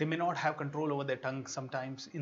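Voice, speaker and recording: With noticeable background noise behind him, a man speaks at a fairly high pitch and fairly quick pace. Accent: Indian. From India. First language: Hindi. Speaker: motivational speaker. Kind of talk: online workshop talk. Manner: animated.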